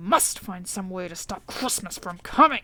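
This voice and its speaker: A put-on character voice from a woman, growling at a medium pitch and a moderate pace. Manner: growling, scheming.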